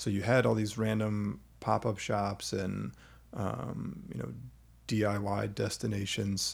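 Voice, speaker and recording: The speaker is a man with a fairly low pitch and vocal fry. He talks at a very slow pace. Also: ordinary pitch variation. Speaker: podcast host. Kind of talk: casual interview chat.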